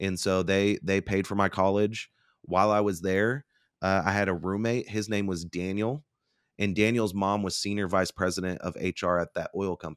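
Heard in an ordinary speaking voice, a man with an American accent talks at a moderate pace and a fairly low pitch, with fairly even intonation, on a very clean recording with a silent background and a dry, close sound with no echo. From Oklahoma (Bartlesville). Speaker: company founder and public speaker. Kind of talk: interview conversation.

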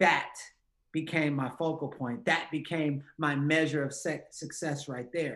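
This man speaks at a fairly slow pace with a fairly high pitch. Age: 40s. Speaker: motivational speaker. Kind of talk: interview. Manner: animated.

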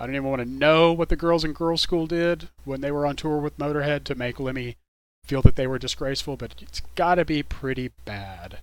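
This man speaks with a Texan accent at a fairly quick pace. His pitch is fairly high, with ordinary pitch variation. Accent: Texan American. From Texas, Dallas-Fort Worth. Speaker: radio DJ. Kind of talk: radio DJ patter between songs.

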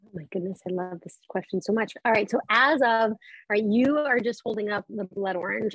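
Her voice is an unremarkable speaking voice, a woman's with an American accent, pitched fairly high and carried by lively intonation. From Colorado, US. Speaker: wine entrepreneur and former sommelier. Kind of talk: casual chat.

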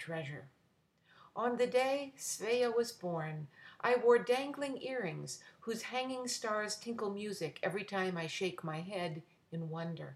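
A woman's normal speaking voice, fairly slow, with lively intonation. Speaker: podcaster and poet. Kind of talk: poetry reading, intimate and personal. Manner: warm, tender, measured pace, lyrical.

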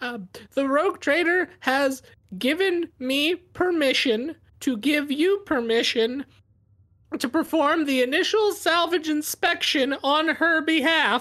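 The voice is a put-on character voice with a high pitch. It moves at a fairly slow pace. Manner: polite, officious, call-center calm.

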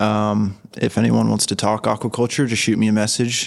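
In a normal speaking voice, a man talks with fairly low pitch and fairly even intonation, recorded very cleanly against a silent background. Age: 20s. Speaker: aquaculture graduate student. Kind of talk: casual interview. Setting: trade show.

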